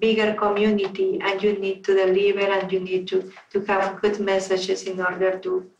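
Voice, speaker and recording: A woman with a Spanish accent talks at a moderate pace in a medium pitch. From Peru. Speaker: toastmasters club member. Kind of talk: panel q&a.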